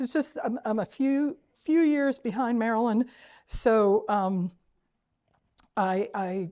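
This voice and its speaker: Against a quiet background, a woman with a fairly high pitch and a dark, mellow tone speaks at a very slow pace with lively intonation. Long, frequent pauses break up her speech. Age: 60s. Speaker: activist. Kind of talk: public talk.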